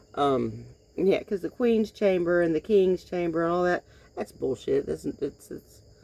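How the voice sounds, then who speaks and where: In a Southern US accent, a woman with a fairly low pitch and dark, mellow tone speaks at a fairly slow pace with ordinary pitch variation. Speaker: vlogger. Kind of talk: casual monologue. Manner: halting.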